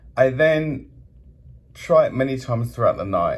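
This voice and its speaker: With a British accent, a man talks at a fairly slow pace. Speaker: hotel guest reviewer. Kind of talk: complaint review monologue. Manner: animated.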